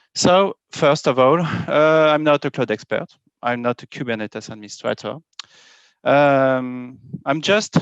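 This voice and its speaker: Against a quiet background, a man with a French accent speaks at a fairly slow pace. The sound is dry and close with no echo, and his pitch variation is ordinary. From France. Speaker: software architect and developer. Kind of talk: conference talk. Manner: halting, many fillers.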